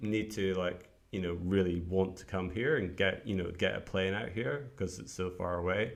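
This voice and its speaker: With a Scottish accent, a man with a very deep, low pitch speaks at a moderate pace with fairly even intonation. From Scotland, Edinburgh. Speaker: entrepreneur, newsletter writer. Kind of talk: casual chat. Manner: hesitant, many fillers.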